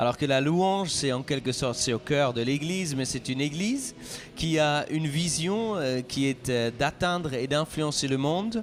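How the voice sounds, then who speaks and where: A man with a fairly high pitch speaks at a fairly slow pace, with ordinary pitch variation. Music plays in the background. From Switzerland. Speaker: pastor. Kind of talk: interview.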